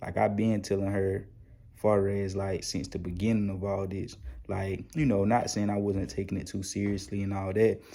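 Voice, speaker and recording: A man speaks quietly in a fairly low pitch. His pace is moderate and his intonation fairly even. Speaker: YouTube stock market commentator. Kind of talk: casual vlog commentary. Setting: at home, child sleeping. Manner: quiet, inside voice.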